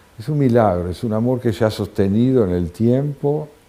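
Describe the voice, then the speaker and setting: Speaking at a fairly slow pace, a man with a dark, mellow tone uses lively intonation. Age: 70s. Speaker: writer and philosopher. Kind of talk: interview. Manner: reflective, with frequent filler hesitations.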